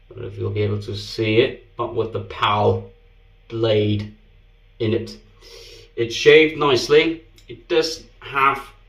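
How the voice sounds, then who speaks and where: In a Danish accent, a man talks at a very slow pace with long, frequent pauses. Audible room echo surrounds his voice. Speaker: shaving video creator. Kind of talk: product review. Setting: bathroom.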